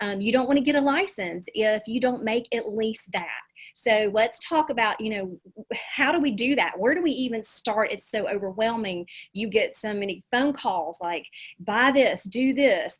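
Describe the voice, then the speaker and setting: A woman with a Southern US accent speaks in a somewhat breathy, fairly high voice with lively intonation. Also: moderate pace. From US South. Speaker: real estate agent and coach. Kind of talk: webinar presentation.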